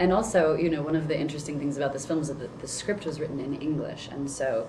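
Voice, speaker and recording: A woman speaks at a very fast pace with a very deep, low pitch and fairly even intonation. Noticeable background noise and audible room echo are present. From United States. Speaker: actress. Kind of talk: interview. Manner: halting.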